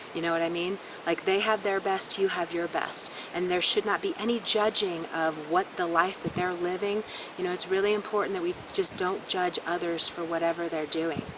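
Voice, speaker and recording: A woman speaks at a fairly low pitch with monotone, flat intonation. Noticeable background noise runs underneath. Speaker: astrologer. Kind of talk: astrology forecast monologue. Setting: self-recorded on camera. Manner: fast.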